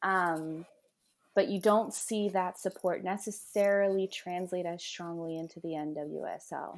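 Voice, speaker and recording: A woman speaks with a Mid-Atlantic US accent at a fairly low pitch. Her intonation is fairly even, and the recording is very clean with a silent background. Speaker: professional soccer player. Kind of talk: interview.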